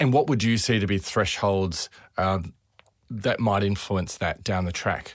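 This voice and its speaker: This man speaks with an Australian accent. His pitch is fairly low. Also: ordinary pitch variation, fairly slow pace, very clean recording, silent background. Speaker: podcast host doctor. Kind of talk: interview.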